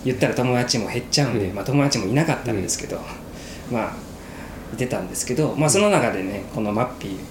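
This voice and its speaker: Over noticeable background noise and audible room echo, a man with a medium pitch speaks at a fairly quick pace with lively intonation. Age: 20s. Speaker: podcast co-host. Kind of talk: casual chat.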